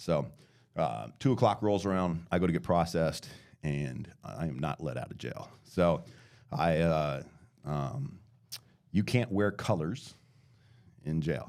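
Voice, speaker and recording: A man speaks with a very deep, low pitch and vocal fry. His intonation is lively, broken by long, frequent pauses. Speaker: podcast guest telling his life story. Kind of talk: testimony. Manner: halting.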